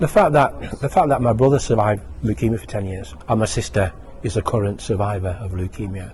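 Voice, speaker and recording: At a very fast pace, a man with a British accent talks in a fairly low pitch with lively intonation. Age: 60s. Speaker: retired university lecturer, charity fundraiser. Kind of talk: interview testimony. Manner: halting.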